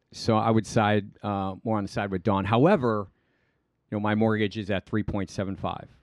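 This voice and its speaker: A man's fairly low voice at a moderate pace, with a dry, close sound, no echo and a quiet background. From Cleveland, Ohio (moved around as army child). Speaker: financial advisor. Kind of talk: casual interview chat. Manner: hesitant, many fillers.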